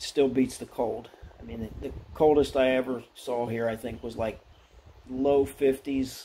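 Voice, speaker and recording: Over light background noise, a man talks fairly slowly at a medium pitch with fairly even intonation. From Pennsylvania, US. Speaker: model car hobbyist YouTuber. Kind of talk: casual hobby video update. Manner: halting, many fillers and restarts. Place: workshop. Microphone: phone near.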